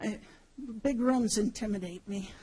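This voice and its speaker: Her voice sits fairly high for a woman, with fairly even intonation. She speaks at a moderate pace. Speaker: rally panelist. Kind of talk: panel talk. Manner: halting.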